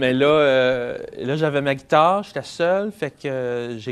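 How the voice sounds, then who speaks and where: The man's pitch sits fairly high and varies in an ordinary way. His pace is fairly slow. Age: 30s. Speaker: singer-songwriter. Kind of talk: interview. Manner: halting.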